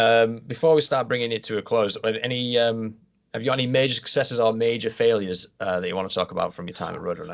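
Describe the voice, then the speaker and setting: Talking at a very fast pace, a man speaks. He has a northern English accent. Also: medium pitch for a man, ordinary pitch variation, quiet background. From Yorkshire. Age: 30s. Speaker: podcast host. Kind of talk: interview.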